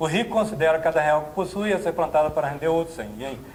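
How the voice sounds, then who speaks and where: A man with a fairly high pitch speaks at a fairly quick pace. His pitch varies in an ordinary way. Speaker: motivational speaker. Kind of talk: seminar talk. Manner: animated.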